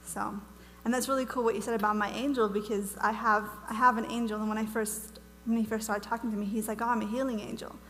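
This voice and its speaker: A woman's fairly high-pitched voice in an American accent, very fast and monotone with flat intonation, with audible room echo. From Wales. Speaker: ministry speaker. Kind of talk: teaching talk to church audience. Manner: casual, chatty.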